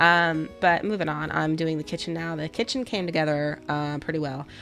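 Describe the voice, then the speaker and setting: In a very deep, low voice with a slight Southern US accent, a woman speaks at a fairly quick pace and with fairly even intonation. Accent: slight Southern twang. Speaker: gaming YouTuber. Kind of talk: voiceover commentary on a speed build. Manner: casual, with many fillers.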